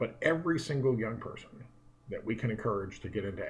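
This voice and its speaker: A somewhat breathy man speaks very fast with lively intonation. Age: 50s. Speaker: economist. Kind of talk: direct-to-camera talk. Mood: earnest, concerned. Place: office. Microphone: earbuds.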